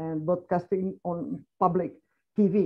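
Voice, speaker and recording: A woman with a Catalan accent. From Catalonia, Spain. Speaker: foreign correspondent. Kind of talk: panel discussion. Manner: halting.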